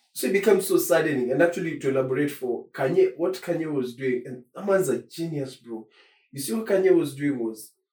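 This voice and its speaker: Fairly high-pitched for a man, this male voice has a dark, mellow tone, lively intonation, big swings in loudness and a fairly quick pace. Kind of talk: casual chat.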